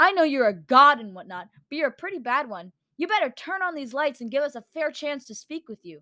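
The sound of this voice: A woman's quick, high, bright and sharp put-on character voice, full of big pitch swings.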